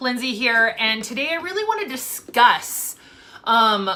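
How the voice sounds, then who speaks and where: Loud and animated, a woman speaks at a fairly slow pace. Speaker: foster parent vlogger. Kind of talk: casual vlog monologue.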